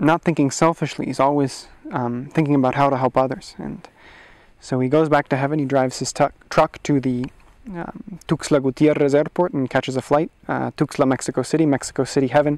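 A man talks at a fairly quick pace with fairly even intonation. The background is quiet and the sound dry with no echo. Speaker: storyteller. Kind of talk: oral storytelling. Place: forest. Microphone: lapel.

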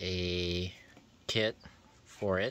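This is a man speaking. The sound is dry, with no echo. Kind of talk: casual vlog chat. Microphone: phone near.

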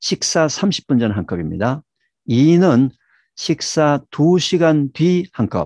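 A man speaks at a very slow pace with lively intonation, his voice dry with no echo against a quiet background. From South Korea. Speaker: scientist and health lecturer; health lecturer. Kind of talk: lecture. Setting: video call. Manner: animated.

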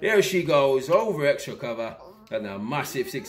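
A man's fairly high voice at a moderate pace, with music in the background. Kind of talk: live cricket commentary. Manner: effusive, repeating praise like 'beautiful shot'.

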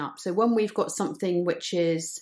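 Her pitch fairly low, a woman speaks at a moderate pace with ordinary pitch variation over a quiet background. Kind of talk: tutorial. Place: home room.

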